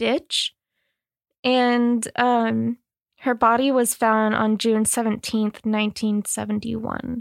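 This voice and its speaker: Delivered at a very slow pace, the voice has a dry, close sound with no echo on a very clean recording with a silent background. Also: woman. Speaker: podcast co-host. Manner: casual, swears a lot.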